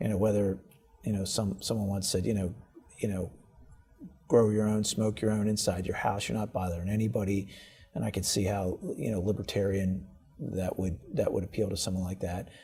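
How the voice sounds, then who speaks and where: Fairly quick, fairly even-toned speech over music in the background. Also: man, fairly low pitch for a man. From Baltimore, Maryland, US. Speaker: state's attorney. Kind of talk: interview. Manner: repetitive, hesitant with fillers.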